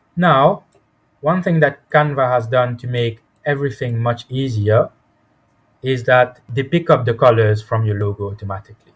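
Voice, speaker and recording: Somewhat breathy, a man speaks at a moderate pace with medium pitch and ordinary pitch variation. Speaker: software tutorial instructor. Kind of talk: tutorial.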